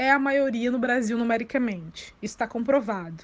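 Speaking at a moderate pace, a woman has an unremarkable speaking voice, a fairly high pitch and ordinary pitch variation. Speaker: journalist and law doctoral student. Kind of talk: interview.

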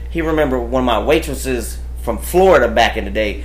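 Against noticeable background noise and audible room echo, a man speaks with an American accent. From West Texas, Amarillo. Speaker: dancer. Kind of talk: casual chat. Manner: animated.

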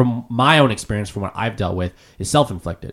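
A man speaks with lively intonation in a Canadian accent. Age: 20s. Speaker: podcast host. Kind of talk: casual chat. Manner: halting.

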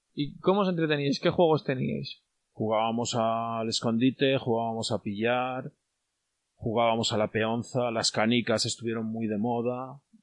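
A man's ordinary speaking voice at medium pitch, with ordinary pitch variation and a fairly slow pace. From Spain, León province village. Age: 40s. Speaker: villager. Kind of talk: casual interview.

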